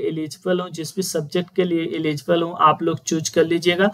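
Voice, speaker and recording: A man is speaking. His pace is moderate. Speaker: online tutor. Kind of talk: tutorial.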